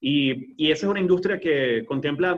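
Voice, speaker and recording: A man's fairly high pitch, varying in an ordinary way. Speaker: aviation entrepreneur. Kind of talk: webinar interview. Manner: fast.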